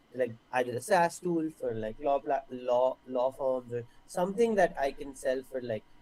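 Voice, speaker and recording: He has a dark, mellow tone at medium pitch with ordinary pitch variation. The man keeps a moderate pace with hardly any pauses. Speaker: business owner seeking coaching. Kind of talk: live coaching call. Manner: animated.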